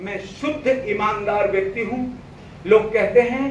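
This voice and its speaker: A man speaks in a high pitch with fairly even intonation. Audible room echo and noticeable background noise surround his voice. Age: 60s. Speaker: motivational business speaker. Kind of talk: seminar speech.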